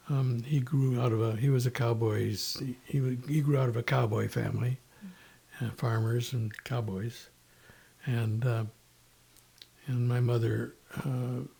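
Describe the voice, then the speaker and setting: In an American accent, a man speaks with a dark, mellow tone, somewhat breathy delivery and fairly even intonation. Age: 80s+. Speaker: podcast guest. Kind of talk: casual interview. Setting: in person at host's home. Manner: halting, many fillers and restarts.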